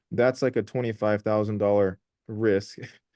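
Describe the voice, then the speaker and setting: Speaking at a moderate pace, a man has a dark, mellow tone at a medium pitch. Behind him the background is quiet. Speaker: forex trader and channel host. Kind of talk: casual interview over trading charts. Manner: animated.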